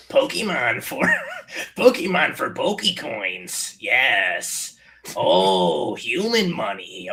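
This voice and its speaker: Using a put-on character voice, this man drags his words out at a very slow pace. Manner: goofy.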